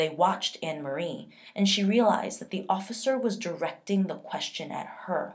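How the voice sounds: The clip features a reading voice. That voice sounds natural.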